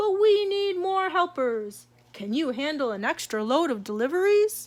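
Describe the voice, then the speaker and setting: A woman puts on a character voice at an extremely high pitch, with very wide pitch swings. Her pace is moderate. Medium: read story. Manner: brisk, businesslike.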